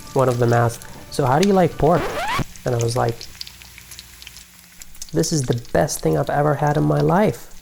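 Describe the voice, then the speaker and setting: Music plays in the background behind a man. He talks at a moderate pace with medium pitch. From Iraq (Baghdad). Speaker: immigration policy researcher and advocate. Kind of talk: personal essay talk to camera on policy.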